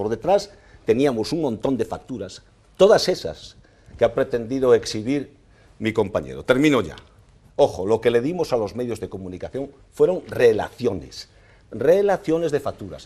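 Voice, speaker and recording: With very wide pitch swings and big swings in loudness, a man speaks at a moderate pace in a dark, mellow tone, leaving long, frequent pauses. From northwest Spain, El Bierzo (León); northwest Spain. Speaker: mayor and candidate; mayor, candidate. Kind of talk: heated debate. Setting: TV studio. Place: studio. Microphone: lapel.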